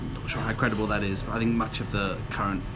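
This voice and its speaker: A man talks at a fairly quick pace in a relaxed tone. Audible room echo and noticeable background noise surround him. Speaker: pub tour vlogger. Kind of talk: travel vlog narration. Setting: walking outdoors and in a pub. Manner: relaxed, hesitant with fillers.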